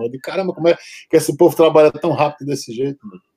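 Over music in the background, a man's voice comes through with a dry, close sound and no echo. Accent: Brazilian. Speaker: tattoo artist and punk musician. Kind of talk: casual chat.

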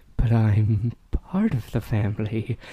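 A man speaks in a put-on character voice at a medium pitch, shaky and at a fairly slow pace. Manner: deranged, trembling.

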